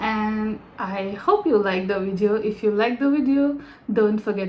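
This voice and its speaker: Noticeable background noise sits behind a woman whose pitch is fairly high. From India. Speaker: vlogger. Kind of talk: casual vlog talk. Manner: halting.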